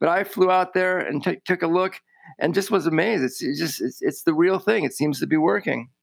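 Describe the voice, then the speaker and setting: Speaking fairly quickly, a man with a high voice shows ordinary pitch variation. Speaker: industry colleague and co-host. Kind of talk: casual conversation.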